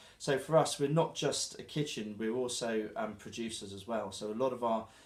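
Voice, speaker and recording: A man with a southern English accent speaks at a fairly quick pace. His pitch is medium and his intonation fairly even. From southern England, Dorset (Christchurch). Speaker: chef. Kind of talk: interview. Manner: halting, with fillers.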